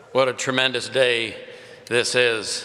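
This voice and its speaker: A man with an American accent speaks at medium pitch. His intonation is monotone and flat, over noticeable background noise. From India and California. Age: 70s. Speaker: pastor. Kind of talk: commencement speech. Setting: stage with audience. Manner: casual, humorous.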